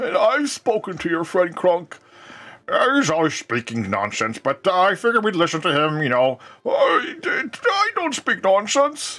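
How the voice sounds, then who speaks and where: A man uses a put-on character voice. It sits high in pitch for a man and moves at a moderate pace. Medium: actual play. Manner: cranky.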